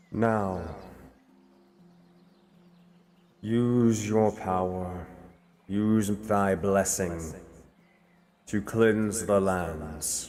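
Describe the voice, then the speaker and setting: A man puts on a character voice, speaking at a fairly low pitch and a very slow pace with long, frequent pauses. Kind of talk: archaic. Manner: commanding, divine.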